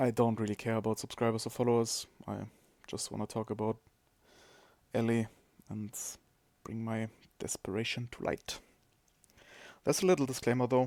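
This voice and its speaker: On a very clean recording with a silent background, a man with a non-native accent and medium pitch speaks at a fairly quick pace with fairly even intonation and long, frequent pauses. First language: not English. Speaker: gaming streamer. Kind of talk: podcast-style monologue. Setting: live stream.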